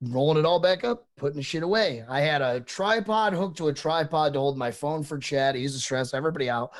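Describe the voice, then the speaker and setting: On a very clean recording with a silent background, a man with a fairly high pitch talks at a fairly quick pace with lively intonation. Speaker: podcast co-host and streamer. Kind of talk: casual chat. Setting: live stream podcast. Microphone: cheap USB condenser mic.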